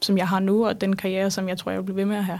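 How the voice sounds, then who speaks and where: A woman's voice at medium pitch. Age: 20s. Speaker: startup founder. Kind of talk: interview. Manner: hesitant, many fillers.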